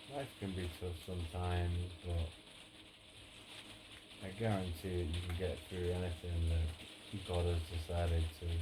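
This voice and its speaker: Soft-spoken and relaxed in tone, a man with a very deep, low pitch talks at a moderate pace with monotone, flat intonation and long, frequent pauses over noticeable background noise. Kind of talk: ASMR softly spoken gaming and life talk. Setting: indoors with rain on conservatory roof. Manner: soft-spoken, relaxed.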